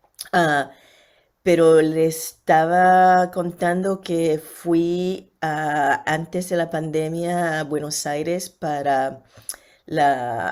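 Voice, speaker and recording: A woman speaks in a very deep, low pitch with a Caribbean Spanish accent and fairly even intonation. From Puerto Rico. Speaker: physician, panelist. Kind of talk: online lecture.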